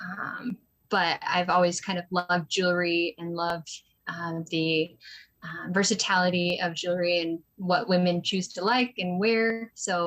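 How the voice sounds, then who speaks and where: A woman has an ordinary speaking voice at a fairly low pitch. She speaks at a fairly slow pace with fairly even intonation. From US Northwest, small town near Boise. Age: 20s. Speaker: small business owner. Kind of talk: interview. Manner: many fillers (um, uh).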